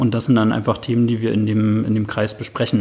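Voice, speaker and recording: A man speaks at a medium pitch. Background noise is noticeable. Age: 30s. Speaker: occupational safety specialist. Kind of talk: interview. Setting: in person at workplace office.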